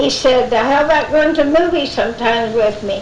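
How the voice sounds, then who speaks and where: A woman speaks at a moderate pace, her pitch varying in an ordinary way, while noticeable noise carries on in the background. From Florida, South Brevard. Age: 80s+. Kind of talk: oral history talk to an audience. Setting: live event recording.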